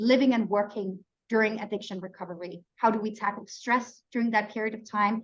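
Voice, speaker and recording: A woman speaks with a Danish accent at a fairly quick pace. Her pitch sits fairly high. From Denmark. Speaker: neuroscientist and webinar host. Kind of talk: online webinar presentation.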